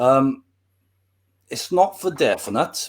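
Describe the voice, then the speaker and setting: A man with a Welsh accent and lively intonation, on a very clean recording with a silent background. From Wales. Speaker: history YouTuber. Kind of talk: casual interview.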